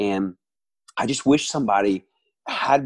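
The speaker has a Southern US accent. The sound is dry and close with no echo. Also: man. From US South, Alabama. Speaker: worship leader and musician. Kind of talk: casual interview. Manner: talkative.

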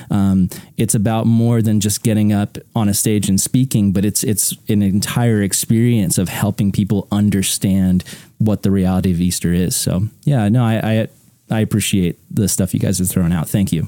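At a moderate pace, a man with a fairly low pitch and a dark, mellow tone speaks with fairly even intonation and very even loudness. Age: 30s. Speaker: podcast host interviewing preachers. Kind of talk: casual interview chat.

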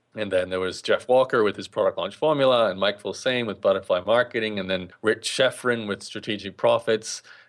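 Against a quiet background, a man with a plain, everyday voice and medium pitch speaks at a fairly quick pace with ordinary pitch variation and hardly any pauses. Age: 30s. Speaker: blogger and online entrepreneur. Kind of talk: interview.

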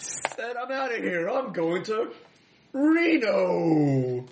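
A man puts on a character voice at a high pitch. He speaks at a very slow pace with very wide pitch swings. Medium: actual play.

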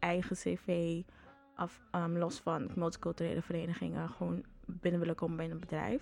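This woman has a plain, everyday voice. Her pitch sits fairly low. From Suriname. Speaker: student association board member. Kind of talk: interview.

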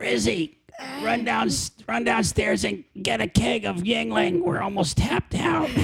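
This put-on character voice is raspy, with a low-to-middle pitch. It moves at a fairly slow pace. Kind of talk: casual, barking an order.

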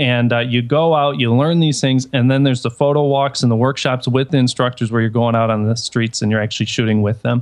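With an American accent, a man talks at a fairly quick pace in a medium pitch. He keeps a very even loudness and hardly any pauses. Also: fairly even intonation. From Detroit, US Midwest. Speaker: photographer. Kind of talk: casual chat.

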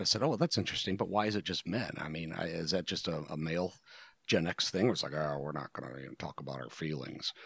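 A man with an American accent talks at a fairly quick pace with vocal fry and ordinary pitch variation, the sound dry and close with no echo on a very clean recording with a silent background. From US Midwest, Ohio Rust Belt. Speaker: podcast co-host. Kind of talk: casual chat.

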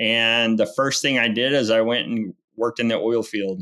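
A man talks with a plain, everyday voice at a medium pitch. His pace is moderate and his intonation fairly even. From Oklahoma (Enid). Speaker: landman, oil and gas business owner. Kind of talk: podcast interview.

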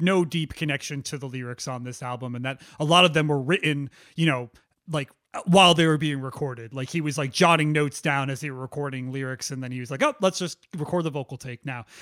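A man's ordinary speaking voice, fairly high in pitch, at a fairly quick pace with fairly even intonation, dry and close with no echo, on a very clean recording over a silent background. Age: 30s. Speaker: music podcast co-host. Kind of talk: scripted narration; casual chat.

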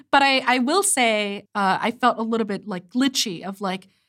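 A woman with a Korean accent speaks in a fairly high pitch at a moderate pace. The recording is very clean, with a silent background. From South Korea. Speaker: theatre director. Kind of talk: casual conversation.

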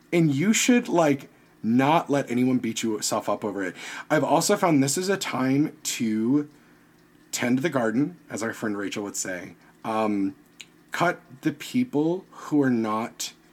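In a very clean recording with a silent background, a man with an American accent speaks at a fairly slow pace. He has an ordinary speaking voice, medium in pitch, with lively intonation. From US South, Virginia. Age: 30s. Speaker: podcaster and costume designer. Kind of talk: casual interview chat.

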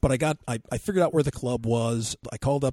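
A somewhat breathy man's voice with fairly even intonation, recorded with a dry, close sound and no echo. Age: 50s. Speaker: podcast co-host, RC hobbyist. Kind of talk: casual chat; field interview. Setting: outdoors at an airfield.

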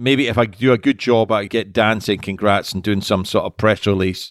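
The pitch varies in an ordinary way. The sound is dry and close with no echo, on a very clean recording with a silent background. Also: man. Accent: Scottish. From Scotland. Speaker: podcast host, industry consultant. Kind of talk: casual interview.

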